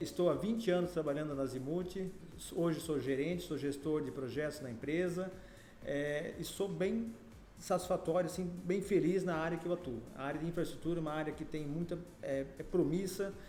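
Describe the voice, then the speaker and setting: A man's high-pitched voice at a moderate pace, with ordinary pitch variation, noticeable background noise and audible room echo. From Joinville, Santa Catarina, southern Brazil. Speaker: civil engineer. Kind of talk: podcast interview. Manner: hesitant, many fillers.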